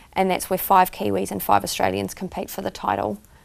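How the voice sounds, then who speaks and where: With a New Zealand accent, a woman speaks fairly quickly with ordinary pitch variation on a very clean recording with a silent background. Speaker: country singer. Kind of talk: casual interview.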